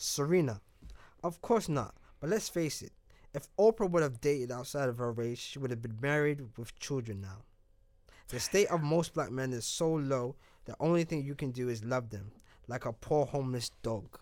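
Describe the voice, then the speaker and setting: A man with a plain, everyday voice speaks at a fairly high pitch. He keeps a moderate pace and lively intonation. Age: 30s. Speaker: podcast host. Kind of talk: casual chat. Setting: studio.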